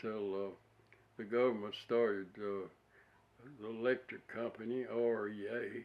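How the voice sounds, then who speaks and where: In an Alabama accent, a man speaks at medium pitch with monotone, flat intonation. He goes at a fairly slow pace with long, frequent pauses. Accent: Southern US, Alabama. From US South, rural Alabama near Wedowee. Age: 80s+. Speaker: war veteran. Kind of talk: oral history interview. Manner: halting, many uh pauses.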